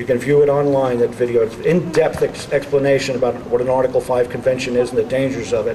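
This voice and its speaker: Over noticeable background noise, a man with an American accent talks fairly quickly in a fairly high voice with fairly even intonation. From New York City (the Bronx). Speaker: political speaker. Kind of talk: rally speech.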